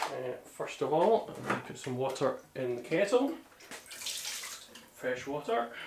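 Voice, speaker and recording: Very slow mumbling under noticeable background noise. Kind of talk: casual talk to camera. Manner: hesitant, mumbling.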